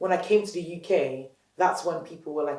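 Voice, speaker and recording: There is audible room echo as a woman speaks. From Nigeria, Lagos; moved to UK at 12-13. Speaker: entrepreneur, company founder. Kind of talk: interview. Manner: passionate, animated.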